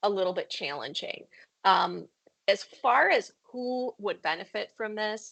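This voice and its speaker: An unremarkable speaking voice from a woman, medium in pitch with ordinary variation, at a fairly slow pace. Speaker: corporate IT trainer on a podcast. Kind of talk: casual podcast discussion.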